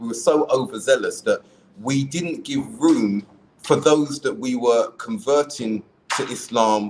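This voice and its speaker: A man with a South London accent at a fairly slow pace. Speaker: podcast host, convert to Islam. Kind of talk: casual chat.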